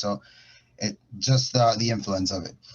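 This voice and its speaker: A man speaks with a Spanish accent at a moderate pace. His voice is somewhat breathy. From Ecuador. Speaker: music industry professional. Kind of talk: panel talk. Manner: halting. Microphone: connection freezing.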